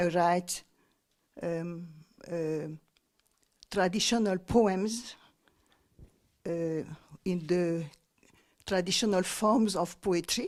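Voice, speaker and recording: A fairly low-pitched woman at a very slow pace, with long, frequent pauses, fairly even intonation and a very clean recording with a silent background. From Tahiti, French Polynesia. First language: French or Tahitian. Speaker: poet. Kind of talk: interview. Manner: halting, many fillers and repeats.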